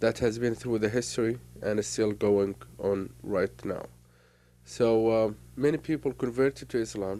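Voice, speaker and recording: The speaker has an Arabic accent and a dark, mellow tone, with ordinary pitch variation at a moderate pace. The recording is very clean, with a silent background. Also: man, fairly low pitch for a man. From Kuwait (Palestinian family). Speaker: speaker on Middle East issues. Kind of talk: personal monologue. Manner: halting, many fillers.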